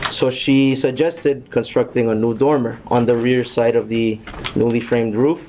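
A man's fairly even intonation comes through over light background noise. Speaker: building contractor; contractor presenting to board. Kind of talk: public hearing presentation. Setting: town hall meeting room. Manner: formal. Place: meeting room. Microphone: podium.

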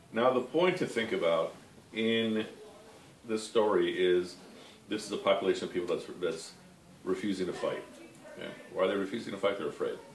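A man talks at a fairly quick pace. There is audible room echo and light background noise. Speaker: religious study teacher. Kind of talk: lecture. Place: home room. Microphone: camera far.

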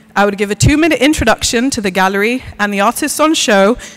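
A woman's medium-pitched voice at a very fast pace, lively in intonation, over noticeable background noise. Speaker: panel speaker, art researcher. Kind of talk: conference talk. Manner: pauses for breath.

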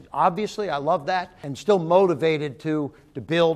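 A man keeps a fairly quick pace, his pitch varying in an ordinary way. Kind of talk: interview answer. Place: hall. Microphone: lapel.

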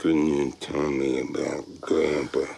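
A man puts on a raspy character voice, pitched very deep and low, speaking at a fairly slow pace.

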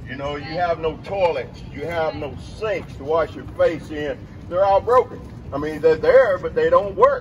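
A man at a moderate pace, big swings in loudness, noticeable background noise. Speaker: former Parchman inmate speaker. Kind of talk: rally speech.

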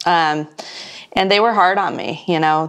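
A woman talks with an American accent at a fairly low pitch. The background is quiet. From San Diego, California; California. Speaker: media and business entrepreneur; interview guest. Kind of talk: interview. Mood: warm, reflective. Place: home room.

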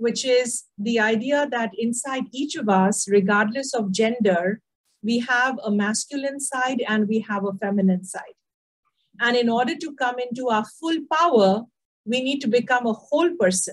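A woman talks at a moderate pace, her pitch varying in an ordinary way, against a quiet background. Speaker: leadership coach guest speaker. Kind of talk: interview answer. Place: home room. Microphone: video call.

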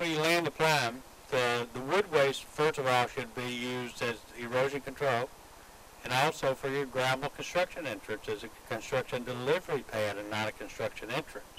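With a fairly bright tone, a man talks with ordinary pitch variation. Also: medium pitch for a man, moderate pace.

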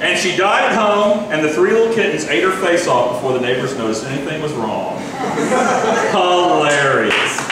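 A man talks at a moderate pace, with strong room echo and noticeable background noise. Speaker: stand-up comedian. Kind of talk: stand-up comedy routine. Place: stage.

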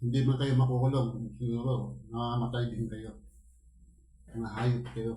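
Monotone, flat intonation at a fairly slow pace. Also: man, medium pitch for a man. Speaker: mukbang vlogger. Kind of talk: angry rant against corrupt officials, after a prayer. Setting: home, eating on camera for ASMR mukbang. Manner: loud, furious, accusatory, cursing and wishing death on thieves.

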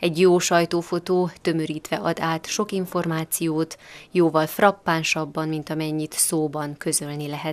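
A woman's very deep, low voice, fairly slow and in a flat monotone. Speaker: news reporter. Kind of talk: news report.

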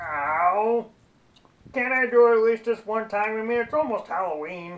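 A cartoonish character voice, fairly high in pitch, at a moderate pace. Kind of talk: children's puppet show. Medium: puppet show. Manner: cheerful, friendly, a bit cheeky.

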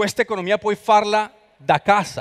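A man speaks with a Spanish accent at a moderate pace. The background is quiet. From Colombia. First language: Spanish (speaking Italian). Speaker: expert on creative economy; guest. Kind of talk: conference talk. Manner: halting. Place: hall. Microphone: headset.

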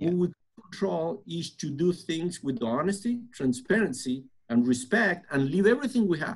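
A man with a Spanish accent speaks at a moderate pace in a high pitch, with lively intonation over a quiet background. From Argentina. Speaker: construction preconstruction director; podcast guest. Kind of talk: interview conversation. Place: office. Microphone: webcam.

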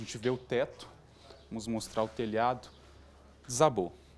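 Over light background noise, a man talks at a moderate pace, with long, frequent pauses and big swings in loudness. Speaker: TV news reporter. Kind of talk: TV news report, on-scene reporting from the burned house. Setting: on location inside the burned house. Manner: formal, clear, measured news-reporter delivery. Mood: serious, informative. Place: home room. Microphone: handheld.

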